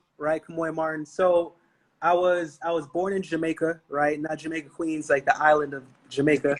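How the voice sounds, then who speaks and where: This man talks at a moderate speed with a fairly high pitch. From Brooklyn, New York. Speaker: entrepreneur. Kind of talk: podcast interview. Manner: animated.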